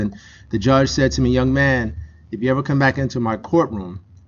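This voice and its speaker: Over noticeable background noise, a man with an American accent talks at a very fast pace with ordinary pitch variation. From Newark, New Jersey. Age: 40s. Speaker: emergency doctor and author. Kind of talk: motivational talk. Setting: campus event with audience, streamed. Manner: animated.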